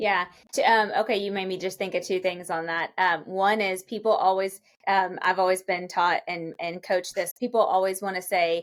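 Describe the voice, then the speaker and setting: A woman speaks at a moderate pace with a Kentucky accent. Her intonation stays fairly even. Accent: Kentucky Southern US. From Kentucky, Lexington. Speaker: real estate brokerage executive. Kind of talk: podcast interview.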